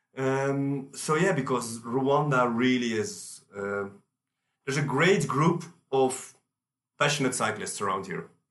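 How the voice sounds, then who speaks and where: With audible room echo around him, a man speaks with lively intonation. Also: medium pitch for a man, fairly slow pace. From Belgium. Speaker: race organiser, cyclist. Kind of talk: casual chat.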